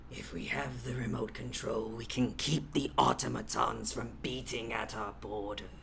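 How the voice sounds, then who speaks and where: Doing a gravelly put-on character voice, a man talks at a moderate pace with hardly any pauses over clear background noise. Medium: actual play. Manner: imperious, slow.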